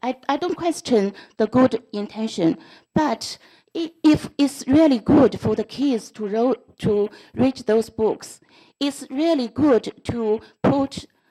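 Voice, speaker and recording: Very slowly, a woman speaks in a non-native accent at a high pitch with ordinary variation. Her tone is dark and mellow. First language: not English. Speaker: school board trustee. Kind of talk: board meeting debate. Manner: halting.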